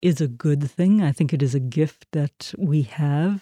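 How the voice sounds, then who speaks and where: In a South African accent, a woman speaks at a very slow pace with a very deep, low pitch and fairly even intonation. Her tone is dark and mellow, the sound dry and close with no echo, on a very clean recording with a silent background. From South Africa, Port Elizabeth. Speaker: minister. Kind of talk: interview.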